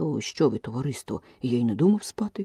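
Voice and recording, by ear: A man puts on a hoarse character voice at a medium pitch. He delivers it at a fairly quick pace.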